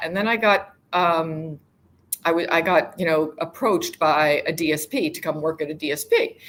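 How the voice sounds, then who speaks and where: A woman with an American accent has an unremarkable speaking voice with fairly low pitch. She talks at a moderate pace. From United States. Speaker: global mobility professional. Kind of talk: interview.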